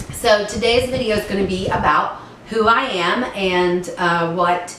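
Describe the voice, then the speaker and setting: A woman with a southern Ohio accent speaks at a medium pitch with ordinary pitch variation. Room echo is audible and the background noise is noticeable. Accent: southern Ohio rural. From southern Ohio, US. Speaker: author. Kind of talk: personal introduction vlog. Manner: casual with many fillers.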